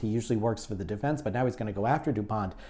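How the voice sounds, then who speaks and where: A dark, mellow tone in a New York accent, with ordinary pitch variation. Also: man. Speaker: online show host. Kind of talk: casual chat. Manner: halting.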